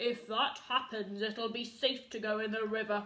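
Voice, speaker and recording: In a put-on character voice, a female-sounding speaker uses a fairly high pitch and keeps a moderate pace. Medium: read story.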